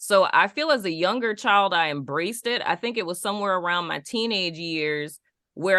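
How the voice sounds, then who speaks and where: A woman speaks at a moderate pace with a medium pitch. Her tone is animated and her intonation lively. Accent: New Orleans. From Dallas, Texas, then New Orleans as a teen. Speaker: podcast co-host. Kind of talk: casual chat.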